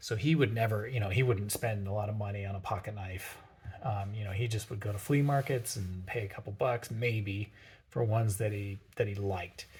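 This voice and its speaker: This soft-spoken man has a fairly low, somewhat breathy voice. He talks at a fairly quick pace with fairly even intonation. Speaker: pocketknife collection YouTuber. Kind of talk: show-and-tell monologue. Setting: home workshop. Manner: halting, many fillers.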